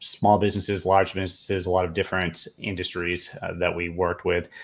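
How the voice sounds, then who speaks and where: Fairly quick speech with a Boston accent comes out in a monotone, flat intonation. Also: man, very deep, low pitch for a man. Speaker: government contracting consultant, Air Force veteran. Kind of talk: podcast interview.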